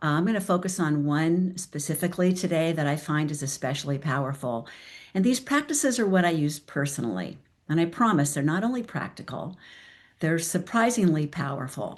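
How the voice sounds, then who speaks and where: Against a quiet background, the speaker uses lively intonation. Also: woman, fairly low pitch for a woman. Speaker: transformational coach. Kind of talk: talk to a virtual group. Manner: deliberately slow.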